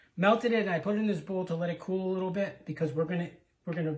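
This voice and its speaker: A man speaks softly. His intonation stays fairly even. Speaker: home cook. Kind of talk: cooking demonstration. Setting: home kitchen. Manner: soft-spoken.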